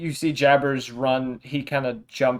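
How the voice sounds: Fairly even intonation in a natural reading voice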